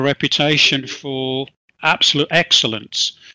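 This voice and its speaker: With an English accent, a man with a fairly high pitch speaks in a bright, sharp tone and monotone, flat intonation, the sound dry and close with no echo in a very clean recording with a silent background. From England. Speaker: HR consultant. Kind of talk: interview.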